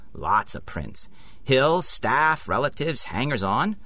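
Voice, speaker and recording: A man's bright, sharp tone with vocal fry, at a moderate pace. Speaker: audio drama actor, police sergeant character.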